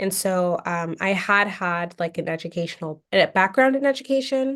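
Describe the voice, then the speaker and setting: Someone with an American accent talks at a fairly slow pace in an ordinary speaking voice. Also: woman, very clean recording, silent background. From US West Coast, Portland, Oregon. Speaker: attorney, former English teaching assistant. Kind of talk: interview.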